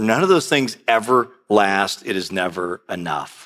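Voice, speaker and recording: A man talks in a bright, sharp tone. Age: 50s. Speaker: pastor. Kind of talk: sermon.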